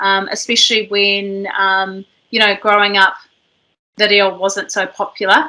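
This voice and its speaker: A woman speaks at a medium pitch in a New Zealand accent. Her tone is bright and sharp, her intonation monotone and flat. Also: fairly slow pace. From New Zealand (Māori). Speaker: podcast host. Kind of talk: casual chat.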